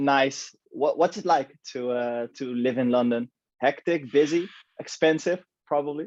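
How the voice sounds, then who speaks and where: A man with a Dutch accent, fairly slow in pace, with ordinary pitch variation. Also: fairly high pitch for a man. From Netherlands. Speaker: podcast host. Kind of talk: casual chat.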